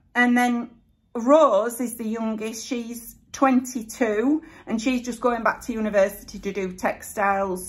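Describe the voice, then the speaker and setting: A woman talks in a somewhat breathy voice with a Yorkshire accent. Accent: broad Yorkshire. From Yorkshire, Bradford area. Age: 50s. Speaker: YouTuber. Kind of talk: casual chat.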